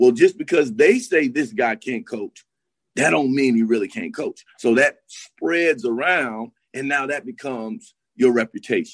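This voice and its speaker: A man with an American accent, an ordinary speaking voice, fairly high pitch, lively intonation and a fairly slow pace, in a dry, close sound with no echo. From US South, Miami. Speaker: college basketball assistant coach. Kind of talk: casual chat.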